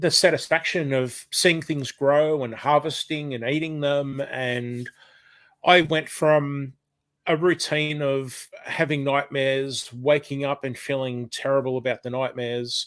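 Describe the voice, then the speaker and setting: Delivered at a fairly slow pace with fairly even intonation, the voice carries an Australian accent. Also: man, fairly high pitch for a man. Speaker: retired chef and cooking and gardening channel creator. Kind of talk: casual chat. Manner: hesitant, many fillers.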